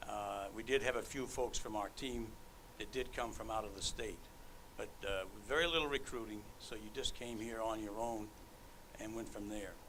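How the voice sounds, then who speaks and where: In a room with audible echo, a man with a medium pitch and a bright, sharp tone speaks at a moderate pace with fairly even intonation. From Maine. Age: 70s. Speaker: hall of fame inductee, former baseball player and veteran. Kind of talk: acceptance speech.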